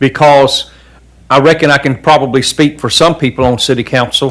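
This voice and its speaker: This man has a fairly high pitch and a Southern US accent. His intonation stays fairly even. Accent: Southern US (Georgia). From US South, coastal Georgia. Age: 60s. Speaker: city council member. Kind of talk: public meeting remarks. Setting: council chamber meeting.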